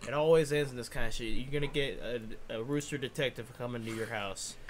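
Speaking at a fairly quick pace, a man with a plain, everyday voice shows ordinary pitch variation. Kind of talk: casual chat. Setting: game playthrough. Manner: jokey, laid-back banter with swearing.

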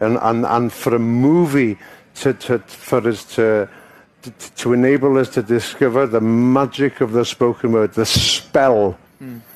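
Speaking with a Welsh accent, a man talks at a fairly slow pace with fairly even intonation. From Wales. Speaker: actor. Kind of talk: interview answer. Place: stage. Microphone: headset.

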